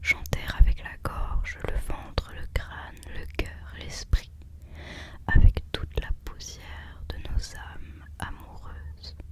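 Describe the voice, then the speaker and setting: A woman whispers at a very slow pace, with big swings in loudness. Noticeable background noise is present. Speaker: ASMR creator, student. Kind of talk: ASMR whispered reading of quotes and poems. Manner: whispered, soft.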